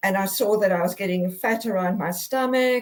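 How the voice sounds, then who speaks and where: A woman is talking. Her pitch varies in an ordinary way. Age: 60s. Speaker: guest sharing health journey. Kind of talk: testimony. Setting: live video broadcast. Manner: halting, many repetitions and fillers.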